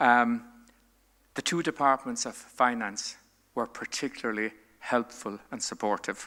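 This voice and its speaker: A man with a Limerick accent, medium-pitched, bright and sharp in tone, fairly even in intonation, at a fairly slow pace with long, frequent pauses. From Ireland, West Limerick. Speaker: retired senior diplomat. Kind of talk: keynote address. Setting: conference stage with audience. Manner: formal.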